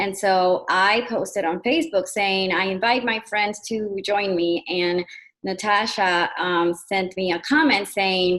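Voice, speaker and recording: This woman speaks at a medium pitch with a Spanish accent. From Puerto Rico. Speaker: panelist, program co-creator. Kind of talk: panel discussion. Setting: video call. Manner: halting.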